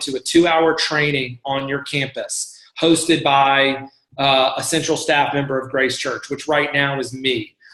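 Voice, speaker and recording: A man talks in an unremarkable speaking voice at a moderate pace with fairly even intonation. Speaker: church staff member leading volunteer training. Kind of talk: online training presentation. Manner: casual with many fillers.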